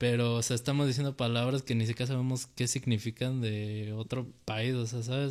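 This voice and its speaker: Monotone, flat delivery from a man at medium pitch and moderate pace, on a very clean recording with a silent background. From Mexico. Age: 20s. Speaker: rapper and video maker. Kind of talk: casual interview chat.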